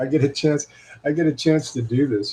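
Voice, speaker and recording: The voice belongs to a man and is somewhat breathy. He keeps a moderate pace. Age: 60s. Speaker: guitar shop owner and technician. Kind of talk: casual livestream chat. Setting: live video stream. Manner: halting, many fillers and repeats.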